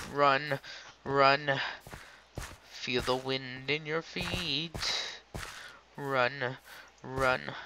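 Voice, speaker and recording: A man speaks at a very slow pace with long, frequent pauses. Noticeable background noise sits behind him. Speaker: gaming YouTuber. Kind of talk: casual gaming commentary. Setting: recorded at home computer, door open. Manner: animated, joking.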